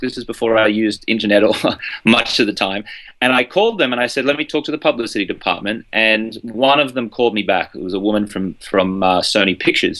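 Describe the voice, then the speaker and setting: Here a man talks at a very fast pace with an Australian accent. His pitch variation is ordinary, and the background is quiet. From Australia, Brisbane. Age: 30s. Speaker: journalist and journalism coach. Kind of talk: interview.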